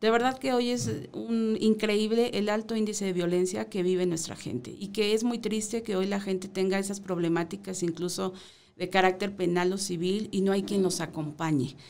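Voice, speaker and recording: A woman at a moderate pace and medium pitch, with ordinary pitch variation. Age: 40s. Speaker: mayoral candidate; candidate. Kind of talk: radio interview. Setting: radio studio. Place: studio. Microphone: studio mic.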